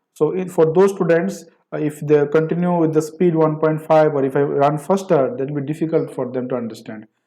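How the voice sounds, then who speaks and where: In a room with audible echo, a man with a dark, mellow tone speaks at a fairly quick pace and fairly high pitch, with ordinary pitch variation. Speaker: programming lecturer. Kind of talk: lecture. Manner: halting.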